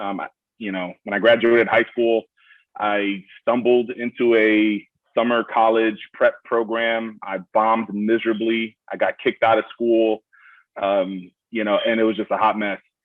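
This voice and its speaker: A man talks in a Brooklyn accent at a fairly slow pace. His medium pitch stays monotone and flat. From Miami, Florida. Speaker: army veteran, college graduate. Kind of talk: panel Q&A personal story. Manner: halting, many fillers.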